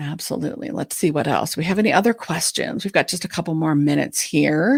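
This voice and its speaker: A woman speaks with vocal fry. The recording is very clean, with a silent background. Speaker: ADHD coach and podcast co-host. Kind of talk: live Q&A chat. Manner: fast.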